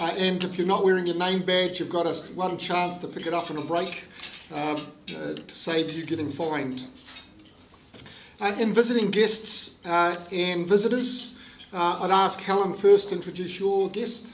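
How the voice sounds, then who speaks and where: With light background noise, a man speaks at a moderate pace. His voice is high-pitched with ordinary pitch variation. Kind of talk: meeting announcements. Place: hall. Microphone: podium.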